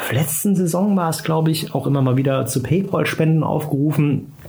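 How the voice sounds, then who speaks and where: A man at a fairly high pitch with fairly even intonation and a moderate pace, amid audible room echo and noticeable background noise. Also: very even loudness. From Germany, Trier. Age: 30s. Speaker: football commentator, former club press officer. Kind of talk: casual interview. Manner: hesitant, many fillers.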